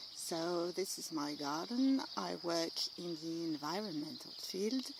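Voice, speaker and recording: Lively intonation from a woman with a French accent, fairly low in pitch, over noticeable background noise. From France. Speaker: amateur painter. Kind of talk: studio tour video. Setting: home studio and garden. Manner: hesitant, many fillers.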